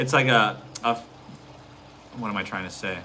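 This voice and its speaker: Over noticeable background noise, a man talks fairly quickly with ordinary pitch variation. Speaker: realtor and family vlogger. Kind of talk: live stream Q&A. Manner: fast; casual, hesitant.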